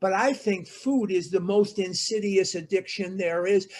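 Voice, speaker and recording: This voice carries an American accent. Nothing much stirs behind it. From Chicago, Illinois. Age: 60s. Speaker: recovery workshop speaker. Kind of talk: recovery talk / workshop.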